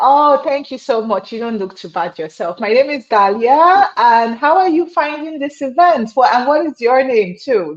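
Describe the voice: A woman talks at a moderate pace with few pauses. Her high voice carries lively intonation.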